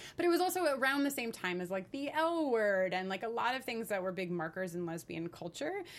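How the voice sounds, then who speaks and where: Speaking at a fairly quick pace with hardly any pauses, a woman with an American accent uses a fairly high pitch and very wide pitch swings. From New York. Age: 30s. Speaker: author and LGBTQ advocate. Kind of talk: interview.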